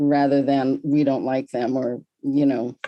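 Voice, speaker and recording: A woman with an American accent talks at a fairly slow pace in a very deep, low voice with a dark, mellow tone. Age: 70s. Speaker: cult expert, sociologist. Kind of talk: interview.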